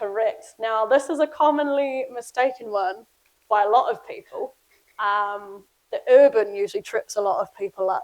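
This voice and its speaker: Her intonation lively, a woman speaks at a moderate pace in a high voice. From New Zealand. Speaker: flood risk project presenter. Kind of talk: public presentation with quiz. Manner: casual, many fillers.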